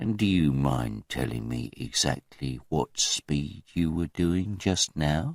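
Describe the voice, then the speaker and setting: In a put-on character voice, a man speaks softly with a very deep, low pitch, lively intonation, a fairly slow pace and hardly any pauses, the sound dry and close with no echo. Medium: read story. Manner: dangerously soft, mocking.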